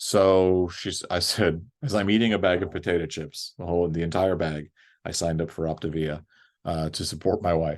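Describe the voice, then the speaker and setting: Against a quiet background, a man with an American accent speaks at a moderate pace in a very deep, low pitch with fairly even intonation. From US South. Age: 50s. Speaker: men's support group facilitator. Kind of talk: personal testimony in group chat. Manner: hesitant, many fillers.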